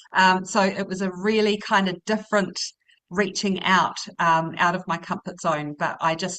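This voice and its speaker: Speaking in a New Zealand accent, a woman keeps to a medium pitch. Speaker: educator. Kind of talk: panel conversation.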